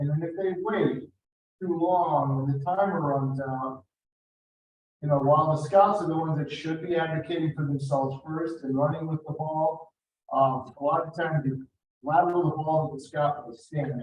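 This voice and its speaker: A man with a fairly high pitch, fairly even intonation and a moderate pace. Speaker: district advancement volunteer. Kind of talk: meeting report. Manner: loud; halting.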